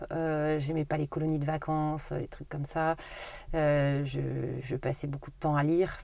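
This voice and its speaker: Her intonation flat and monotone, a woman speaks fairly slowly in a very deep, low voice with a dark, mellow tone. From Haute-Corrèze, France. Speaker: grocery shop owner. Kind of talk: interview.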